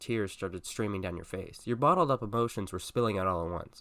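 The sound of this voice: Here is an unforced reading voice. Its pitch variation is ordinary.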